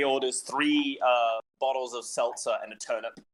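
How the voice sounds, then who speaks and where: With an Australian accent, a man speaks at a moderate pace and a fairly high pitch. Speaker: tabletop game player. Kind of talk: tabletop roleplay, casual chat.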